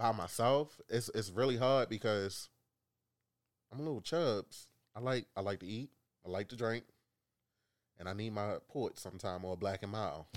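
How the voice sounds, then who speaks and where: A man with a fairly low voice speaks at a moderate pace, leaving long, frequent pauses, in a very clean recording with a silent background. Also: ordinary pitch variation. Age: 30s. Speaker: coworker guest. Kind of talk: casual chat.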